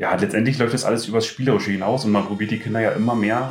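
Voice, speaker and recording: With noticeable background noise and audible room echo, a man at a medium pitch speaks very fast with fairly even intonation. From Brandenburg, near Schwedt. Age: 30s. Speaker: volunteer firefighter. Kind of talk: casual interview.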